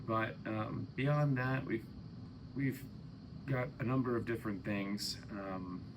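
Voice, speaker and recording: The speech moves at a very slow pace with long, frequent pauses and ordinary pitch variation, and audible room echo surrounds it. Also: man, medium pitch for a man. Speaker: English teacher. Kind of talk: lecture. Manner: hesitant, many fillers; intonation with much up and down.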